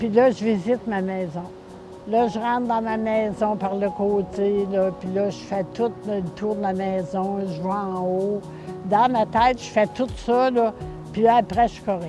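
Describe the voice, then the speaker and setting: In a Quebec accent, a woman speaks at a medium pitch and a fairly slow pace with fairly even intonation. Clear music plays in the background, and the sound is dry with no echo. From Quebec, Beauce region. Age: 80s+. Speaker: flood victim. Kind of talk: interview answer. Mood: emotional, reminiscing. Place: open country. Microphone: lapel.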